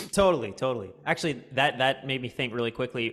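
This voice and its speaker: A man at a fairly quick pace. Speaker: podcast host and guitar instructor. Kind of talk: podcast interview. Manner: articulate.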